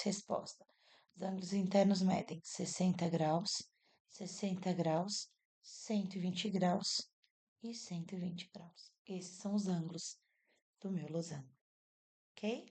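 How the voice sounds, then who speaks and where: A soft-spoken woman with a dark, mellow tone talks at a fairly slow pace and medium pitch, somewhat breathy. Her intonation is fairly even, but her loudness swings widely, and she takes long, frequent pauses. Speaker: math teacher. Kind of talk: tutorial.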